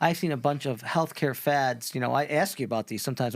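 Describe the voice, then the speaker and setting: With an American accent, a man speaks at a fairly quick pace in a plain, everyday voice. His pitch sits at a medium level with ordinary pitch variation. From United States. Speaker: podcast host, doctor. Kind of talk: podcast interview.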